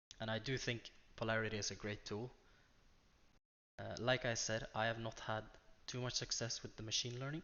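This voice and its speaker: A man's medium-pitched, monotone voice at a fairly quick pace, broken by long, frequent pauses. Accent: Norwegian. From Norway. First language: Norwegian. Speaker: day trader. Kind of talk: screen-share tutorial. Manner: unscripted, hesitant with fillers.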